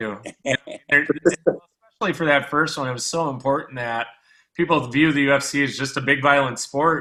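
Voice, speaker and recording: Quick-paced and fairly high-pitched, a man speaks in a bright, sharp tone. His intonation is fairly even. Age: 30s. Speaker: sports podcast host. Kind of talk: casual chat.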